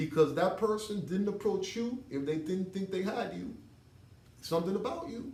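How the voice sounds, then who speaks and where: Loud and lively in intonation, a man speaks at a high pitch amid noticeable background noise and audible room echo. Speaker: martial arts instructor. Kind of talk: tutorial.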